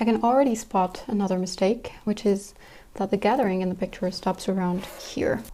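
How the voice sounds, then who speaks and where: On a very clean recording with a silent background, a woman speaks at medium pitch and a moderate pace in a dark, mellow tone. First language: French. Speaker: sewing YouTuber. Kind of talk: tutorial. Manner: thinking aloud.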